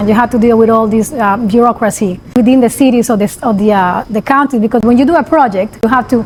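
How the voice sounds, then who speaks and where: Noticeable background noise surrounds a woman talking very fast in a fairly high voice. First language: Spanish. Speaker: construction company CEO. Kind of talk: interview. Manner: animated.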